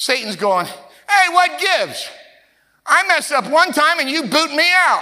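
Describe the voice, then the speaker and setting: In a raised, projected voice with a bright, sharp tone, a man speaks at an extremely high pitch with lively intonation, going at a fairly slow pace with long, frequent pauses. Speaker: pastor. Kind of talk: sermon and spoken prayer. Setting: church with congregation. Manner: fervent.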